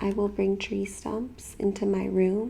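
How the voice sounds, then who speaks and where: A soft-spoken woman talks at a very slow pace. Her tone is gentle. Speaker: ASMR creator reading a picture book aloud. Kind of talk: ASMR picture book reading. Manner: soft-spoken, gentle.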